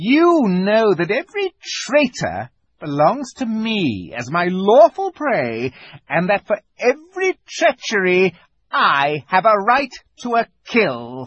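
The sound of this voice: A man puts on a character voice, high-pitched and fairly bright with a slightly husky edge. He speaks slowly with few pauses, and his pitch swings very widely.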